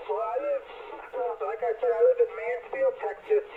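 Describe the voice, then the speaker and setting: Noticeable background noise surrounds a man talking at a fairly slow pace. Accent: American. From New York, the Bronx. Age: 50s. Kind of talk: casual chat. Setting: radio transmission.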